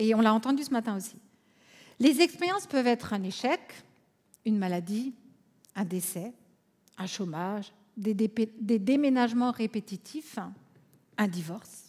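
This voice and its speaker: Here a woman speaks with an Alsatian accent. Her voice is somewhat breathy, with ordinary pitch variation. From France, Alsace. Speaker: conference speaker, counselor. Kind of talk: conference talk.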